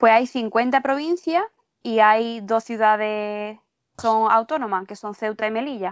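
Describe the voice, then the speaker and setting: A woman speaks at a fairly slow pace with ordinary pitch variation and big swings in loudness. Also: fairly high pitch for a woman. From Málaga, Andalusia, southern Spain. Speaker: guest speaker. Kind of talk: educational conversation.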